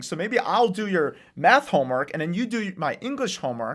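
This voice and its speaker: A man with a non-native accent and lively intonation at a fairly quick pace, on a very clean recording with a silent background. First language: not English. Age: 20s. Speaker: real estate investor and author. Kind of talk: podcast interview. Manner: casual.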